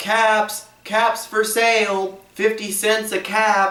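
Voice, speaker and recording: A man uses a put-on character voice, high in pitch and monotone, with flat intonation. He talks at a very slow pace. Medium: read story.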